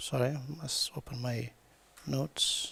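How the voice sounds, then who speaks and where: With a non-native accent, a man talks. He goes at a very slow pace. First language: not English. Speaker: designer and researcher. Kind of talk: conference presentation read from notes. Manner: halting, hesitant.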